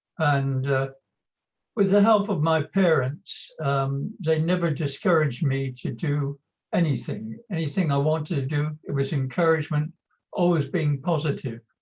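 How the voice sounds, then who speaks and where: At a moderate pace, a somewhat breathy man speaks with ordinary pitch variation. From England, Somerset. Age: 80s+. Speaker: retired chemist with Poland syndrome. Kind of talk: interview.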